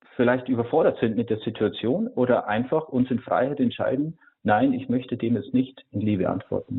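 His intonation stays fairly even as the man moves along at a moderate pace. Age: 30s. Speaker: priest and monk. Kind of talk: radio interview on faith. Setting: remote call-in to radio. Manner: hesitant, with frequent filler sounds.

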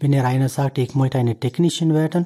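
A man's somewhat breathy, fairly high voice with a dark, mellow tone and a dry, close sound with no echo. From India. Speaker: priest. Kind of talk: interview. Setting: studio. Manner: halting.

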